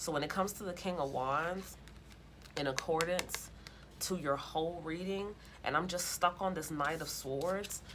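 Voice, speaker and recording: A woman speaks over noticeable background noise. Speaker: tarot reader. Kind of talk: tarot reading. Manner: animated; loud.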